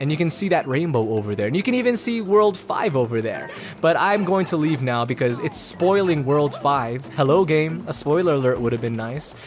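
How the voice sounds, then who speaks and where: Music plays behind a man who talks at a fairly quick clip with hardly any pauses, his fairly high voice animated and swinging very widely in pitch. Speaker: let's play gamer. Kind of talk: gameplay commentary. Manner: fast.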